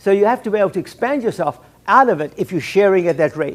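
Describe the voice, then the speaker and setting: An animated man's voice, high-pitched for a man. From South Africa. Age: 70s. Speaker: keynote speaker, salon entrepreneur. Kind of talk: keynote speech. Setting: luncheon with audience.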